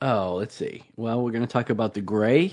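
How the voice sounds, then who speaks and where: A man's plain, everyday voice, medium in pitch with ordinary pitch variation, over a quiet background. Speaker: co-host. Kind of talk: casual chat.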